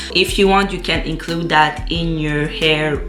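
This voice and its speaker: In a recording with audible room echo and noticeable background noise, a woman with a non-native accent speaks at a very deep, low pitch with ordinary pitch variation. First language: not English. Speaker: beauty vlogger. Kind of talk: tutorial. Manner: halting, with frequent fillers.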